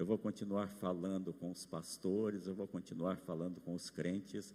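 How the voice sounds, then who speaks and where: Dark and mellow in tone, a man's very deep, low voice moves at a fairly slow pace with fairly even intonation. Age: 70s. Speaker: pastor. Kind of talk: sermon.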